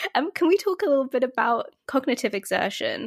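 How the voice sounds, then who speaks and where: The speaker has a British accent. The sound is dry and close, with no echo. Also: woman. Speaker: podcast host. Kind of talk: interview intro and conversation.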